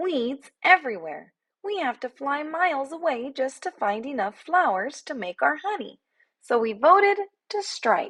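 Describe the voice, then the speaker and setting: Loud and high-pitched, a woman performs a put-on character voice with very wide pitch swings. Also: moderate pace. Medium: read story. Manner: brash, sarcastic.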